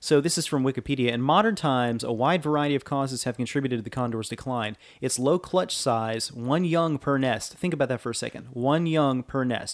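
A man with an unremarkable speaking voice talks with ordinary pitch variation and hardly any pauses. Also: medium pitch for a man. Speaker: podcast host. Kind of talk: casual podcast banter, minute-by-minute film recap. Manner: casual, chatty.

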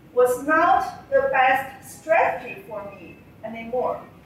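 At a very slow pace, a woman with a Chinese accent and a high voice makes very wide pitch swings over noticeable background noise. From China. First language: Mandarin Chinese. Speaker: civil engineer. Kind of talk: prepared speech. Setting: stage with audience.

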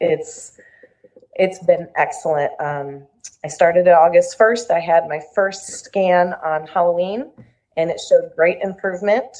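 A plain, everyday voice, fairly slow, its pitch moving an ordinary amount. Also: woman, fairly low pitch for a woman. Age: 40s. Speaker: cancer patient and special education assistant. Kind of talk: interview.

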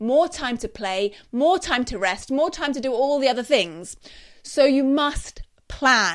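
Speaking at a fairly slow pace, a woman with a British accent uses a high pitch with very wide pitch swings. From UK. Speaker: podcast host and homeschooling educator. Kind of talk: advice talk on live broadcast. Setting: live stream on social media. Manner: quieter, mellow.

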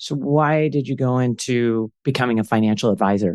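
The man has a plain, everyday voice at medium pitch, set against a quiet background. His intonation is lively and his pace moderate. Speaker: podcast host. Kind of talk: casual interview.

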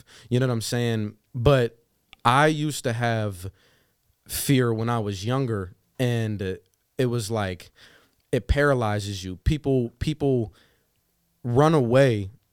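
A man with an American accent talks at a very slow pace and a medium pitch. Long, frequent pauses break up his speech. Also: ordinary pitch variation. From western Pennsylvania. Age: 20s. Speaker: sales business leader. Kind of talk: casual interview. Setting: studio.

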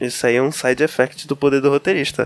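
Dry and close with no echo, a man's voice holds fairly even intonation at a fairly high pitch. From Belém, Pará, Brazil. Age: 20s. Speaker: biologist. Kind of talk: casual chat.

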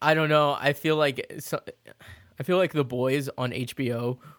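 With an American accent, a man speaks fairly slowly at a fairly high pitch and fairly even intonation, in a dry, close sound with no echo. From Florida. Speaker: podcast co-host. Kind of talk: casual chat.

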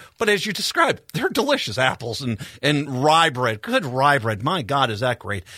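A man's fairly high, bright, sharp voice with an American accent and very wide pitch swings, in a very clean recording with a silent background. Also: moderate pace. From Minnesota. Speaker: radio host. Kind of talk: radio interview. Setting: radio studio.

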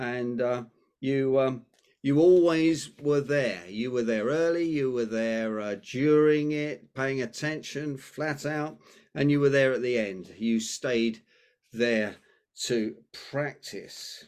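A man with a British accent at a medium pitch, ordinary pitch variation and a very slow pace, over a quiet background. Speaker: podcast host. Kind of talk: casual interview chat. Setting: video call.

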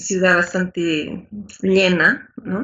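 The woman's intonation is fairly even. She talks very slowly. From Bolivia. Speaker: Spanish teacher. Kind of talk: interview.

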